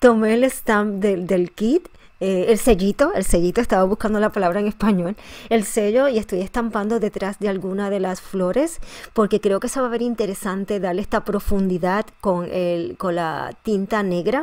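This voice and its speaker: Here a woman talks at a fairly quick pace, medium in pitch with ordinary pitch variation. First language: Spanish. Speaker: scrapbooking tutorial host. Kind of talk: tutorial. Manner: halting, with frequent fillers and restarts.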